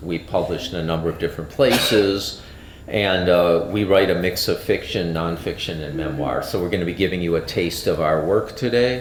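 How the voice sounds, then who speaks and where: A man speaks at a moderate pace in a very deep, low pitch. Room echo is audible, along with noticeable background noise. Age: 60s. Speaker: author and event emcee. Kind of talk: event introduction. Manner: halting, many fillers.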